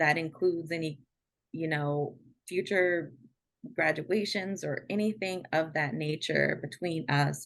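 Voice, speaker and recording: This woman has a very deep, low pitch and an American accent. She talks at a fairly slow pace with ordinary pitch variation. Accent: DC accent, usually held back. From Washington DC. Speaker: podcast guest. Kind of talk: casual chat. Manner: halting, many fillers and repeats.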